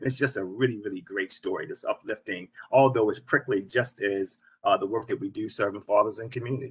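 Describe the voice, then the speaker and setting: Very fast and somewhat breathy, a man with an American accent speaks at a medium pitch. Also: fairly even intonation. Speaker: nonprofit founder and CEO. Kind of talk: panel discussion.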